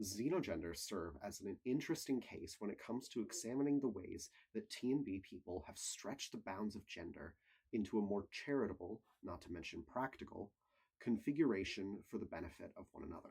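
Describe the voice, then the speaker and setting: A man with a normal speaking voice talks at a fairly quick pace, with fairly low pitch and lively intonation. His loudness swings widely. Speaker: college student. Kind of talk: scripted video essay narration.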